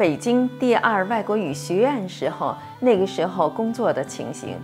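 With clear music in the background, a woman's voice swings very widely in pitch. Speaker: interviewer. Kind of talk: interview question. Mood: warm, gentle, smiling. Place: studio.

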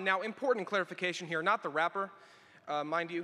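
A man's raised, projected voice with a bright, sharp tone at a fairly quick pace, over a quiet background. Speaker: student speaker; speaker. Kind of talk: ceremony speech. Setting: arena stage with audience. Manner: theatrical. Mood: lightly humorous, earnest. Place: hall. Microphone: podium.

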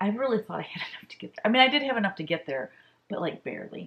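A woman is speaking. Her pitch makes very wide swings. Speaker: stitching vlogger. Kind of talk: casual vlog chat. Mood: animated, laughing at herself. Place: home room.

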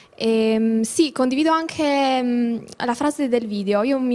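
Fairly even intonation in a woman's voice of fairly high pitch. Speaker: student; guest. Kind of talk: TV studio discussion. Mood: earnest, personal. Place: studio. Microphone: handheld.

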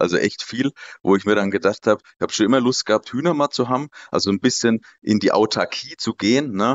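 This man's medium-pitched voice races along at a very fast pace. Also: ordinary pitch variation. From Lower Franconia, Germany. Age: 20s. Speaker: startup consultant and lecturer. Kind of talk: casual interview. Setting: video call.

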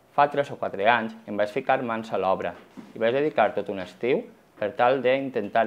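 Pitch varies in an ordinary way. The speaking pace is moderate. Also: man. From Valencia, Ribera del Xúquer (Algemesí); Valencia, Spain. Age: 30s. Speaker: schoolteacher and children's author; schoolteacher. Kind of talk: personal testimony interview. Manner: slightly halting. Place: shop. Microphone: lapel.

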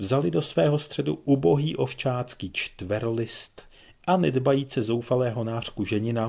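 Reading aloud in a natural voice, the pitch varying in an ordinary way

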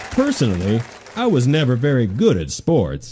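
Using a cartoonish character voice, a man talks at a moderate pace over clear background noise. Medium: puppet show. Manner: slow, good-natured, a bit dim.

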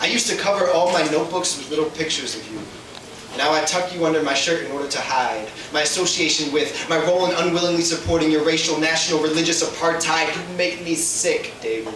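Over noticeable background noise and audible room echo, a man with a fairly high voice talks at a very fast pace with hardly any pauses. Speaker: slam poet. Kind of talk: spoken word poetry performance. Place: stage. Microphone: camera far.

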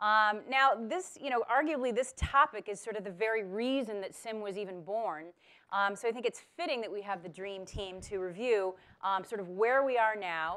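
Her tone is bright and sharp. The woman keeps a moderate pace. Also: ordinary pitch variation. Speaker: panel moderator. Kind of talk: event introduction. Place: hall.

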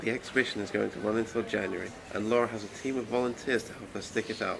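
A man at a very fast pace, flat monotone intonation, big swings in loudness, and noticeable background noise. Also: medium pitch for a man. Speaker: student news reporter. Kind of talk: TV news report voice-over.

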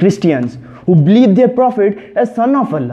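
Moderately paced male speech over a quiet background. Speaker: speaker. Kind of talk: declamation speech. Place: empty room.

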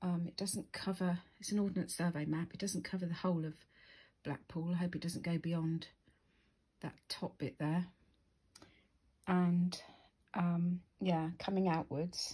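Against a quiet background, the speech moves at a fairly slow pace with long, frequent pauses. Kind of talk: casual vlog chat. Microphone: phone near.

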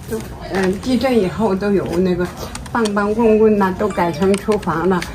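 A woman speaks at a moderate pace and medium pitch, her loudness very even and her intonation fairly even, with noticeable background noise behind her. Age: 80s+. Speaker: longtime hutong resident. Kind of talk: casual street conversation. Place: street.

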